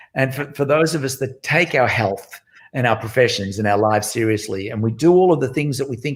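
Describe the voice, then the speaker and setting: A man with a medium pitch talks at a fairly quick pace in a somewhat breathy voice. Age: 60s. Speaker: music educator, founder of a music school network. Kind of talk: interview.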